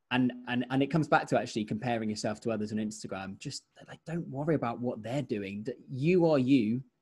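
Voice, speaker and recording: A man with an English accent speaks at a fairly quick pace, his medium-pitched voice dark and mellow in tone, with ordinary pitch variation against a quiet background. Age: 20s. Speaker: radio presenter. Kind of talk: casual chat.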